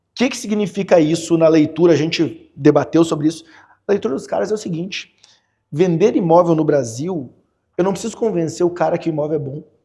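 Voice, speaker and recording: Here a man talks at a fairly quick pace in a dark, mellow tone. His pitch sits high with ordinary variation. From Porto Alegre, southern Brazil. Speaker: real estate financing specialist. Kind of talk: podcast interview answer.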